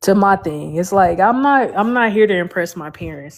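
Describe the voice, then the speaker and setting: A woman speaks at a moderate pace in a plain, everyday voice with ordinary pitch variation. The recording is very clean, the background silent. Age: 30s. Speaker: podcast co-host. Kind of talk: casual chat.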